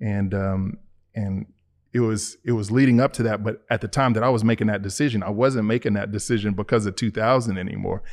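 Against a quiet background, a man with an American accent speaks at a fairly quick pace, his pitch fairly low and his intonation fairly even. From Chicago, Illinois. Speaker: church member sharing faith story. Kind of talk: testimony interview. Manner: halting, many fillers and repetitions.

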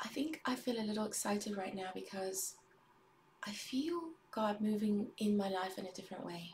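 A woman speaks with an American accent at a moderate pace. Her pitch varies in an ordinary way, and there is noticeable background noise. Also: medium pitch for a woman. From US Midwest. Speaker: livestreamer. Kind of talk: casual livestream chat. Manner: hesitant, many fillers.

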